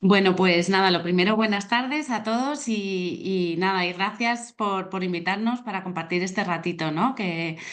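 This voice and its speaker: A woman speaks at a medium pitch with ordinary pitch variation. She leaves hardly any pauses. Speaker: psychologist. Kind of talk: online talk. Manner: fast.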